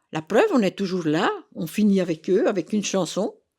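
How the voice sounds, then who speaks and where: With a dark, mellow tone, a woman talks at a fairly slow pace on a very clean recording with a silent background. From Burgundy, France (Autun area). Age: 70s. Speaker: retired senior participant. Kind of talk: interview. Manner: halting, many hesitations.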